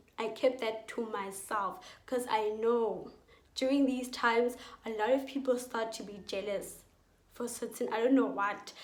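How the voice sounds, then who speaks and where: Audible room echo accompanies fairly slow speech with fairly even intonation and big swings in loudness. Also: woman, fairly high pitch for a woman. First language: Setswana and Sepedi. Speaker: youtuber giving school advice. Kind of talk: casual vlog advice.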